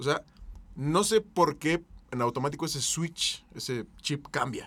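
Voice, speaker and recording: A man's fairly high voice with lively intonation. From Mexico City. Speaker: podcast host. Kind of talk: casual chat.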